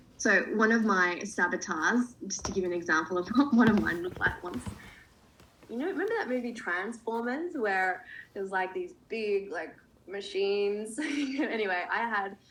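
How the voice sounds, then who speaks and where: Woman's voice of medium pitch with ordinary pitch variation at a moderate pace, with noticeable background noise. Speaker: coach. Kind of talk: online workshop.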